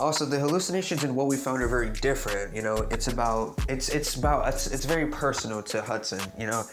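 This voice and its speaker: Over music in the background and audible room echo, a man talks at a very fast pace with a medium pitch and ordinary pitch variation. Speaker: YouTuber, game theory commentator. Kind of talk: video essay monologue. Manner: halting, many false starts.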